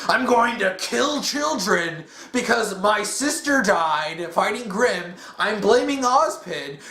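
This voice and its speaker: Someone talks in a shrill, put-on character voice at a fairly slow pace. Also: man, high pitch for a man. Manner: ranting, unhinged.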